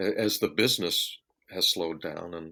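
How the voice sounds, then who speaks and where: On a very clean recording with a silent background, a man speaks with an American accent. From US Southwest (Phoenix). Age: 60s. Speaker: session guitarist and recording artist. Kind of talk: interview. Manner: halting, many fillers and repeats.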